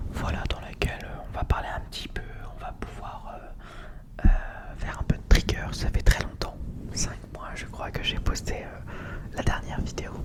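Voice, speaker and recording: Whispering from a man at a fairly slow pace, with big swings in loudness amid noticeable background noise. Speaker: ASMR content creator. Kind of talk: casual improvised ASMR chat to camera. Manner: soft-spoken, relaxed.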